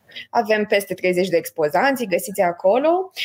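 A woman's voice moves through very wide pitch swings. The sound is dry and close with no echo. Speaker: event organizer. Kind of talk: event announcement.

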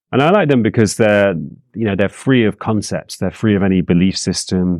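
Fairly quick speech in a dry, close sound with no echo, on a very clean recording with a silent background. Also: man. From England. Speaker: psychologist and author. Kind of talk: interview. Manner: calm; halting.

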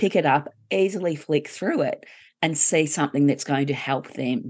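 A woman with an Australian accent has a very deep, low voice. The background is quiet. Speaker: grief coach and co-author. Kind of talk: interview conversation.

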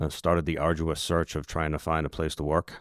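Speaking at a very fast pace with an American accent, a man with a very deep, low pitch keeps a monotone, flat intonation in a dry, close sound with no echo and a very clean recording with a silent background. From Massachusetts. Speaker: sheriff's SWAT sergeant. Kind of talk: interview about a critical incident.

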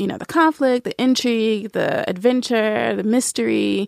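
A woman with an American accent, dry and close with no echo. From US South, Nashville. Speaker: writer and book reviewer. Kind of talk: casual interview chat.

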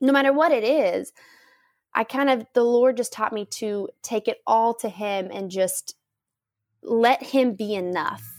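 A woman with an American accent speaks in a normal speaking voice, fairly high in pitch with ordinary pitch variation, the sound dry and close with no echo. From US South. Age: 30s. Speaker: missionary. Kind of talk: interview. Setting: remote call from home.

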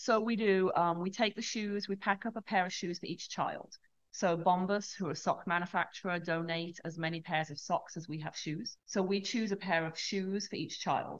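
At a moderate pace and with hardly any pauses, a woman speaks at medium pitch with fairly even intonation in an ordinary speaking voice. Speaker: charity director. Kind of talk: interview conversation. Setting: studio.

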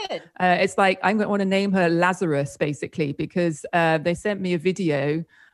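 With noticeable background noise, a woman speaks fairly quickly at a fairly low pitch, her intonation fairly even and her loudness very even. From UK. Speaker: author and former complementary therapist. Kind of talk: casual interview chat.

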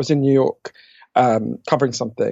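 Here is a man with a British accent and a fairly high pitch. He talks at a fairly quick pace with fairly even intonation. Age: 40s. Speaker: author. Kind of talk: interview conversation.

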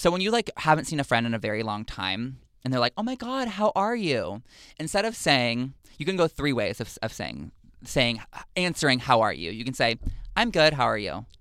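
On a very clean recording with a silent background, a man talks at a moderate pace in a bright, sharp, medium-pitched voice with vocal fry and very wide pitch swings. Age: 20s. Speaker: internet show host. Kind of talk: casual chat.

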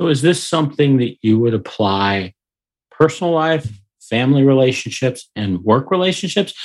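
A man with a normal speaking voice, medium pitch, moderate pace and lively intonation. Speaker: podcast host. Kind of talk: interview conversation.

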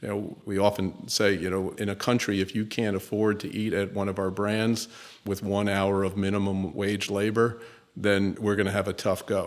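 A man's fairly low voice in an American accent, with monotone, flat intonation. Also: moderate pace. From US Northeast, New York City. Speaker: chief executive of a fast food company. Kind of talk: interview.

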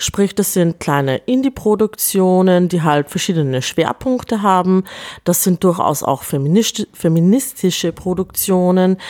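A plain, everyday voice at a fairly slow pace, with very even loudness, ordinary pitch variation, and a dry, close sound with no echo. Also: woman, medium pitch for a woman. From Upper Austria. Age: 40s. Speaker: film festival director and artist. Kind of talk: interview.

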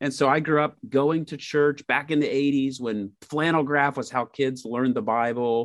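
Against a quiet background, the pitch varies in an ordinary way. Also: man. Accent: US Midwestern. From Indiana, US Midwest. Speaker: ministry organization executive. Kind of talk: interview podcast.

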